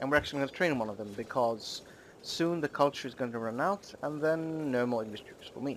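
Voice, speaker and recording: At a fairly quick pace, a man speaks in a normal speaking voice, fairly high in pitch with ordinary pitch variation. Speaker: gaming YouTuber. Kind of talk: gameplay commentary. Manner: casual, rambling with fillers.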